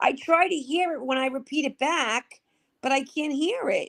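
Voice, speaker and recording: The speaker talks in a strong Brooklyn accent, the sound dry and close with no echo. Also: woman. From Brooklyn, New York.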